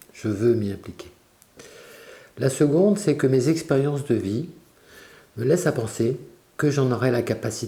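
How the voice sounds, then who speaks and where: With lively intonation and long, frequent pauses, a man of medium pitch speaks at a moderate pace. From France, Brittany (Quiberon). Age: 60s. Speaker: local election candidate. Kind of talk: campaign statement. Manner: formal.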